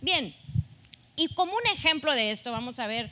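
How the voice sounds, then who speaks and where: A woman's voice comes across with a bright, sharp tone. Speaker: pastor. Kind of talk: sermon.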